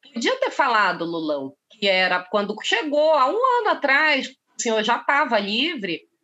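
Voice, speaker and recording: A woman's high-pitched voice at a fairly slow pace, with very wide pitch swings and hardly any pauses. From Brazil, Pará (North). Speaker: journalist and political scientist. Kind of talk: casual interview. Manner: animated.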